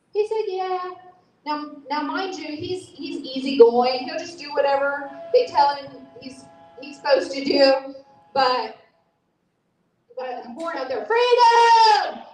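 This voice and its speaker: A high-pitched woman speaks at a fairly slow pace with long, frequent pauses, very wide pitch swings, and big swings in loudness. Audible room echo fills the space. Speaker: speaker at a political rally. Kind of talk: impassioned speech. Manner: animated.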